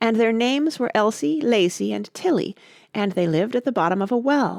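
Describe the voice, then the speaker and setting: A hoarse, put-on character voice, female-sounding and fairly high-pitched, at a fairly quick pace in a very clean recording with a silent background. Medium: read story.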